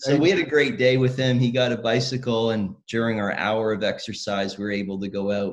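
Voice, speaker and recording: Fairly quick speech with ordinary pitch variation and hardly any pauses. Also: man. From Northern Ireland then Canada. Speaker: pastor and charity representative. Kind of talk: casual interview chat.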